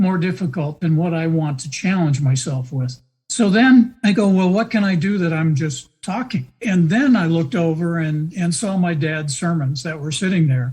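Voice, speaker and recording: A high-pitched man with lively intonation and hardly any pauses. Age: 70s. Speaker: podcaster. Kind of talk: interview answer.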